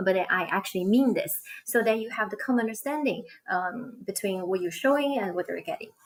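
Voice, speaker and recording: A woman's fairly high voice at a fairly quick pace, with lively intonation. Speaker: online ESL teacher and co-host. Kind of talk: live-stream conversation. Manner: fast.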